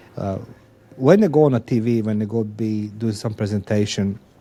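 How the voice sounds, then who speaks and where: With a non-native accent, a man talks over noticeable background noise. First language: not English. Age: 50s. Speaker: podcast host. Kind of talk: interview conversation. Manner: halting, repetitive.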